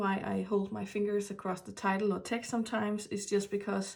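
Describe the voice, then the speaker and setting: A woman's medium-pitched voice with a Danish accent, at a moderate pace. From Denmark. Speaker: tarot reader. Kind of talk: tarot reading. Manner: halting.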